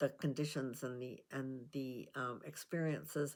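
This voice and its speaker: At a fairly slow pace, a woman speaks with a very deep, low pitch and ordinary pitch variation. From Canada. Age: 80s+. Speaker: self-help vlogger. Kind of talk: casual talk to camera. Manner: hesitant, conversational.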